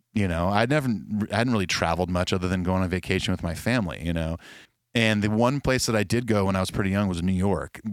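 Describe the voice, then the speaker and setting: A man speaks very fast in a very deep, low voice with ordinary pitch variation. His loudness stays very even in a very clean recording with a silent background. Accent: American. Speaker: musician. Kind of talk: casual chat. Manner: halting.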